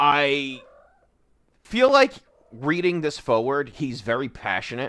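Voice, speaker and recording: A man at a fairly slow pace on a very clean recording, the background silent. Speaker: streamer reviewing comics. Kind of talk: casual livestream commentary.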